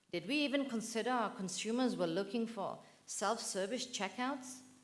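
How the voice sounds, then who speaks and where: Audible room echo surrounds speech delivered at a moderate speed. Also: woman. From northern England, Manchester. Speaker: professor. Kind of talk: conference keynote. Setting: auditorium with audience. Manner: animated.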